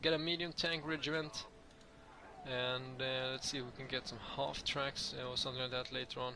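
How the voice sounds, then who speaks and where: A man keeps his medium-pitched voice fairly even in intonation while noticeable noise sounds in the background. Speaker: gaming youtuber. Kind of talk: gameplay commentary. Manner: fast; halting.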